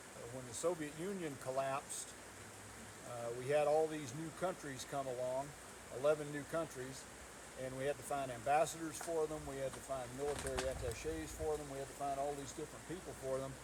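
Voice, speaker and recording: With a North Georgia accent, a man speaks in a fairly high voice whose loudness swings widely, over noticeable background noise. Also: fairly even intonation, fairly quick pace. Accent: Southern US (North Georgia). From US South, North Georgia. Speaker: county commissioner, retired naval officer. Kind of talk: public talk at a meet and greet. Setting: home gathering with audience.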